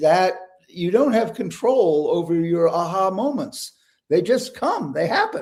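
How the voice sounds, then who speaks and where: Speaking at a fairly slow pace, a man with a high voice uses lively intonation. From New England. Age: 70s. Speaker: psychiatrist and author. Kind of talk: interview conversation. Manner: repetitive false starts.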